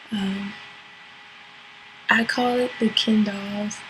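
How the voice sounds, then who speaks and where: A soft-spoken woman talks at a very slow pace. Audible room echo and noticeable background noise surround her voice. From US, Virginia (Portsmouth). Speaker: model. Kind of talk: interview monologue. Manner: hesitant with fillers (um).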